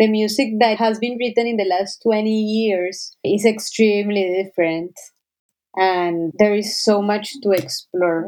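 A woman speaks with a Spanish accent, her fairly high-pitched voice dark and mellow, moving at a fairly slow pace with fairly even intonation. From Colombia, Cali. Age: 30s. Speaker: orchestra conductor. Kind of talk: interview.

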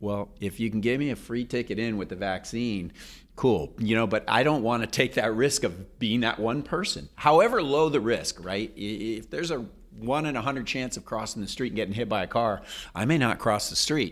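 In a plain, everyday voice, a man talks at medium pitch and a moderate pace with ordinary pitch variation, on a very clean recording with a silent background. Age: 50s. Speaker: physician and diet book author. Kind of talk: casual chat.

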